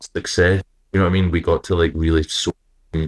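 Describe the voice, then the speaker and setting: A man with a Scottish accent speaks at a very deep, low pitch. The sound is dry and close with no echo, on a very clean recording with a silent background. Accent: own accent, Scottish. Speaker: rock singer and guitarist. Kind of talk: interview. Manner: hesitant, many fillers.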